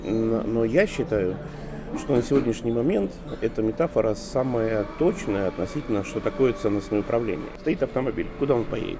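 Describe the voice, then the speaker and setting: Noticeable background noise sits under the audio. Over it, a man talks with lively intonation. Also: medium pitch for a man, moderate pace. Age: 50s. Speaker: author and management consultant. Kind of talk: interview.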